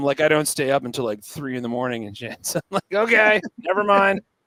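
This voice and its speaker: A man with an American accent speaks in a bright, sharp tone at a fairly quick pace with lively intonation, the sound dry and close with no echo. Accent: California, sometimes heard as Pittsburgh. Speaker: touring performer, podcast guest. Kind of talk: casual chat. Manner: animated.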